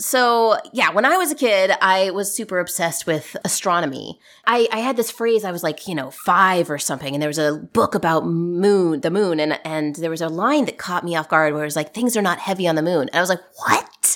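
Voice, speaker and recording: Talking at a fairly quick pace with hardly any pauses, a woman has an unremarkable speaking voice, fairly low pitch and lively intonation. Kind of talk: casual chat. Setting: remote call recorded in early morning.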